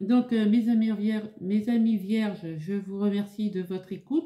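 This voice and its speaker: At a fairly slow pace, a woman speaks at medium pitch with a somewhat breathy, dark, mellow tone and ordinary pitch variation. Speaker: tarot card reader. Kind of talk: tarot reading video. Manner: halting, stammers.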